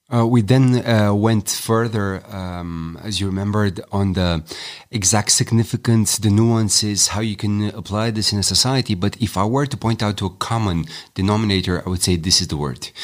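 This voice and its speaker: A man with a Romanian accent speaks at a fairly low pitch and a moderate pace. The recording is very clean, with a silent background. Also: ordinary pitch variation. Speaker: communications trainer, co-facilitator. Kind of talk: podcast discussion. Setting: seminar venue.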